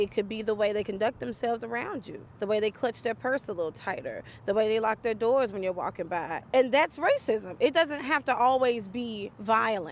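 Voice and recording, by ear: The delivery has lively intonation at a moderate pace. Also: woman, fairly high pitch for a woman.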